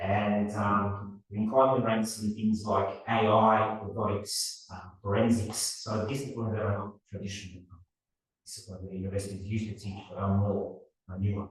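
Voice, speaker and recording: A somewhat breathy man with an Australian accent, flat and monotone in intonation, with big swings in loudness and audible room echo. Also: fairly low pitch for a man, moderate pace. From Australia, partly raised in Serbia. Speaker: robotics professor. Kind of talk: lecture. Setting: seminar talk with audience.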